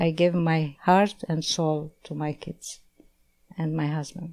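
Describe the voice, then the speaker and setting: A woman's dark, mellow tone with monotone, flat intonation. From Egypt, Alexandria (Armenian family). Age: 70s. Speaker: philanthropist and carpet maker. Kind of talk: interview. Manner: halting.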